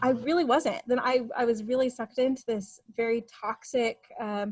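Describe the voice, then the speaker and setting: High in pitch, a woman with a slight Texas accent speaks with a dry, close sound with no echo. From Texas Panhandle / eastern New Mexico border. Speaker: writer and editor. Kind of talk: interview testimony.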